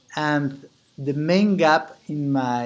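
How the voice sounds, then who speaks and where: Ordinary pitch variation marks a man speaking with a Spanish accent. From Mexico. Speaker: business owner and chapter president. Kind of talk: membership application video. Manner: halting, with frequent repetitions.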